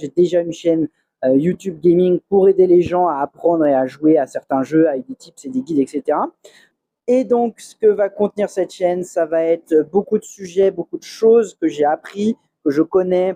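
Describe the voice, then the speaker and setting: This man speaks at a moderate pace with a high pitch and ordinary pitch variation. His tone is dark and mellow, and the sound is dry and close with no echo. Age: 30s. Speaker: expat YouTuber and software developer. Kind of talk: channel introduction monologue. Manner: hesitant with many fillers; calm.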